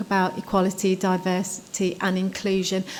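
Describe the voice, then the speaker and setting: A soft-spoken woman's voice at a moderate pace, medium in pitch. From United Kingdom. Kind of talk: conference talk. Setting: conference stage with audience.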